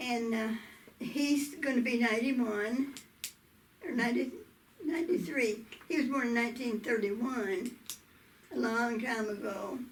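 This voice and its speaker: A high-pitched woman with a southern Oklahoma accent at a moderate pace, with long, frequent pauses, ordinary pitch variation and audible room echo. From US South, southwestern Oklahoma. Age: 80s+. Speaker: interviewee telling life story. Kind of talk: oral history interview. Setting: video interview.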